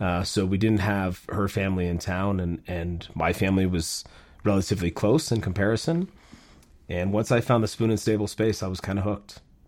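A man with an American accent and a fairly low pitch talks with fairly even intonation in an unremarkable speaking voice. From Minnesota. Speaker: chef. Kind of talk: casual interview. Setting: video call with online audience.

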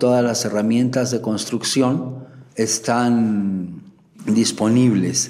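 The man's pitch is medium. He talks at a very slow speed. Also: ordinary pitch variation. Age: 40s. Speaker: IT specialist. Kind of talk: interview testimony.

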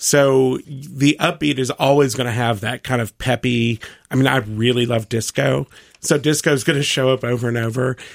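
Over a very clean recording with a silent background and a dry, close sound with no echo, a man with an American accent uses an unremarkable speaking voice at medium pitch, moderate pace and fairly even intonation. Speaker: laundry expert and vintage clothing store owner. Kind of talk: radio interview, casual chat. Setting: studio.

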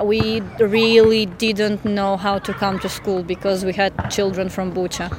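A woman with a Ukrainian accent speaks at a fairly slow pace with hardly any pauses, her medium pitch held in a monotone, flat intonation. Noticeable background noise runs underneath. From Ukraine (Odesa). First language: Ukrainian or Russian. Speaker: teacher. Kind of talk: interview.

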